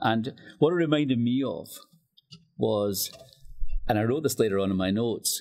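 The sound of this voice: In a West of Scotland accent, a man speaks fairly slowly at medium pitch, with lively intonation and a slightly mellow tone.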